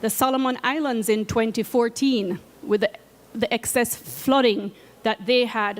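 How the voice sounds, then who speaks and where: A woman speaks with a Jamaican accent and a fairly high pitch. Her pace is fairly slow and her intonation fairly even. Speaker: climate finance program coordinator. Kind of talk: presentation talk. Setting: seated presentation at conference media zone.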